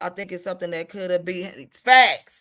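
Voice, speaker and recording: A woman speaks at a moderate pace in a raised, projected voice, her tone animated, bright and sharp, with ordinary pitch variation. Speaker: livestream gossip commentator. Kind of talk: casual livestream commentary.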